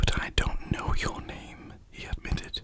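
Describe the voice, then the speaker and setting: Over noticeable background noise, the speaker whispers at a fairly slow pace. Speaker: ASMR storyteller. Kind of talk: bedtime story reading. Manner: soft-spoken.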